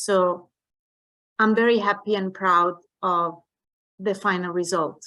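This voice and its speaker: A woman's bright, sharp voice at medium pitch, in an Italian accent, with monotone, flat intonation, very even loudness, a very slow pace and long, frequent pauses. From Italy. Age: 40s. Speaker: network marketing distributor. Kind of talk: online training presentation.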